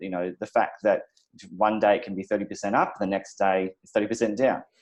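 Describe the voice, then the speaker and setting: Big swings in loudness mark this man's speech. He talks at a fairly quick pace in an Australian accent. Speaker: crypto channel host. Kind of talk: interview.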